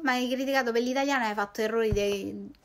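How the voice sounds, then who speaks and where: A woman's voice at a fairly quick pace. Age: 30s. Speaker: YouTuber; youtuber. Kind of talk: casual monologue. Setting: late-night Instagram stories recording. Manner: fast. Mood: sarcastic, indignant. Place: home room. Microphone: phone near.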